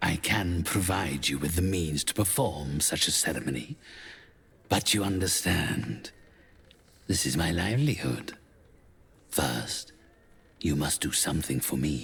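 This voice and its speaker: Putting on a character voice, a man speaks at a very deep, low pitch and a moderate pace, with long, frequent pauses. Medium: video game. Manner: formal, condescending.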